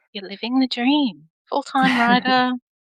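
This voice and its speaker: A woman with an Australian accent speaks at a fairly slow pace in a high, bright and sharp voice, the sound dry and close with no echo. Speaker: podcast host. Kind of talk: interview conversation.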